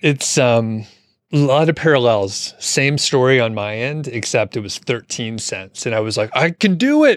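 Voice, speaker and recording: Using a normal speaking voice, the man talks at a moderate pace, his pitch medium and its variation ordinary. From Atlanta area, US South. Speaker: podcast host. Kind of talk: casual interview. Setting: video call.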